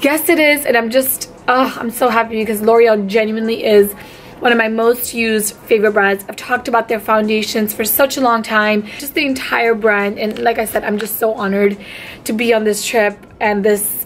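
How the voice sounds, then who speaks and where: Over light background noise, a woman's voice moves at a moderate pace, her intonation fairly even. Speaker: beauty vlogger. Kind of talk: casual vlog chat. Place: home room. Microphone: phone near.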